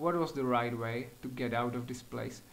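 Audible room echo surrounds a man with a non-native accent who speaks with ordinary pitch variation. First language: not English. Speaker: gaming youtuber. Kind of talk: gameplay commentary. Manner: animated.

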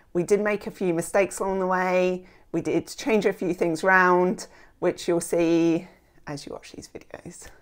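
A woman talks at a moderate pace with fairly even intonation. The background is quiet. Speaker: home renovation vlogger. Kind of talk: casual vlog chat. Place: home room. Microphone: lapel.

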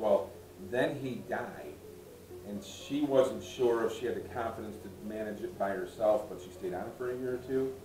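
A man at a moderate pace and fairly low pitch, with audible room echo and clear music in the background. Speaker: local guide or museum volunteer. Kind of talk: storytelling to a group. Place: home room. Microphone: camera far.

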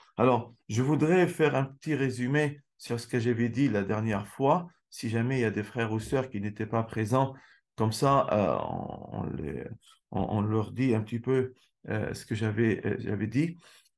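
Against a quiet background, a man of medium pitch talks at a fairly slow pace with ordinary pitch variation. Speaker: Islamic lecturer. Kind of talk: religious lecture. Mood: calm, earnest. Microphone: webcam.

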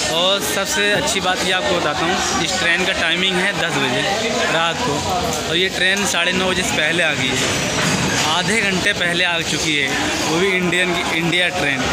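Through loud background noise, a man speaks at a fairly slow pace with ordinary pitch variation. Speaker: travel vlogger. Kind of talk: casual vlog chat. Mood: pleased, upbeat. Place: station. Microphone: phone near.

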